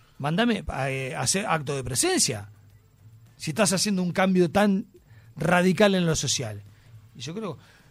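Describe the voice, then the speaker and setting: A man's high voice with an Uruguayan accent, very wide pitch swings, a fairly slow pace and long, frequent pauses. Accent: Uruguayan Rioplatense Spanish. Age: 50s. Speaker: actor and TV personality. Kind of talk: casual chat.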